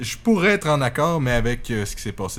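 A man with a Quebec accent speaks at a moderate pace with very wide pitch swings. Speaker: podcast co-host. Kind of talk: casual chat.

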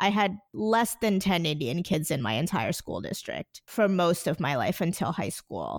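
With a New Jersey accent and vocal fry, the speaker moves at a moderate pace with lively intonation on a very clean recording with a silent background. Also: woman. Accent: New Jersey American. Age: 20s. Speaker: podcaster. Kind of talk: casual chat.

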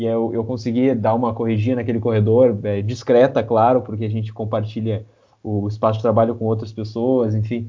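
A man's ordinary speaking voice at a medium pitch. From southern Brazil, Rio Grande do Sul. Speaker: football fan podcast guest. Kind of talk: casual chat.

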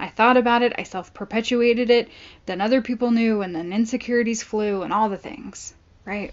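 Speaking at a moderate pace with an American accent, a woman uses an ordinary speaking voice, fairly high in pitch, with fairly even intonation. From Southern California. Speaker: podcast host. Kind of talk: casual monologue.

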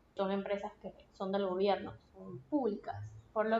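With a Venezuelan accent, a woman speaks at a fairly slow pace in a medium pitch with ordinary pitch variation. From Venezuela, Punto Fijo (Falcón coast). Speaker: podcast host. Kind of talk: solo podcast monologue. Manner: casual, conversational.

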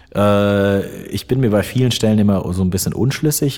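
A man talks at a fairly low pitch. Noticeable background noise runs under his voice. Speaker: metalcore vocalist and voice-over artist. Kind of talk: casual interview. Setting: large empty side room at concert venue. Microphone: room echo and open window audible.

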